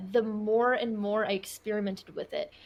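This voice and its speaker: The speaker has a plain, everyday voice. Intonation stays fairly even. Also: woman. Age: 20s. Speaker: occult and witchcraft content creator. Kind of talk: podcast interview answer.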